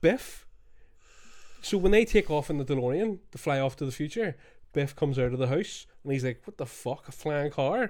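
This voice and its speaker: Against a silent background in a very clean recording, a man with a Scottish accent talks at a moderate pace, his fairly high pitch carried by lively intonation. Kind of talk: casual banter podcast. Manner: joking, profane, rambling.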